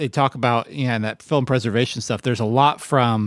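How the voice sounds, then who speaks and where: A man talks at a fairly quick pace in a normal speaking voice with medium pitch. The sound is dry and close, with no echo. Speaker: podcast host. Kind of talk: casual chat.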